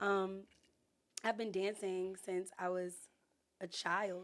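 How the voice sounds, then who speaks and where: An unremarkable speaking voice from a woman, medium in pitch, with fairly even intonation and an American accent. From Norfolk, Virginia (US). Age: 20s. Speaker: dancer and choreographer. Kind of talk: casual podcast interview. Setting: studio.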